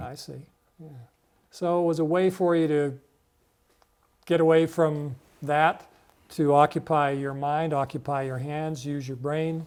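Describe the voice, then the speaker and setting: The delivery is fairly slow, with long, frequent pauses and big swings in loudness. The intonation stays monotone and flat. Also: man, fairly high pitch for a man. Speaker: TV program host. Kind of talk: interview questions.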